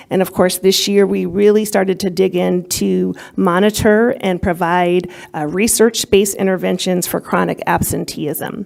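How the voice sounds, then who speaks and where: An ordinary speaking voice from a woman, medium pitch, moderate pace and fairly even intonation. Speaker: school district administrator. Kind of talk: presentation to a school board. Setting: board meeting.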